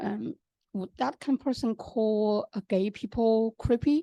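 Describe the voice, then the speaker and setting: A woman with a Chinese accent has a fairly high pitch, a dark, mellow tone and ordinary pitch variation, recorded with a dry, close sound and no echo. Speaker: audience member asking questions. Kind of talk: academic Q&A.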